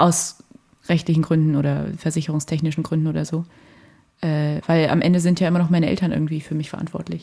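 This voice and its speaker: A woman with a dark, mellow tone and a very deep, low pitch speaks very fast in a monotone, flat delivery. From Germany, Fulda (Hesse). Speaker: university student. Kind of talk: casual chat. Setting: studio in a flat.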